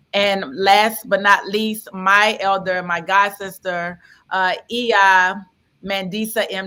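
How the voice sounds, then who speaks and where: On a very clean recording with a silent background, a woman with a New Orleans accent speaks at medium pitch in a bright, sharp tone with monotone, flat intonation. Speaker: panel moderator. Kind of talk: panel introduction and moderation.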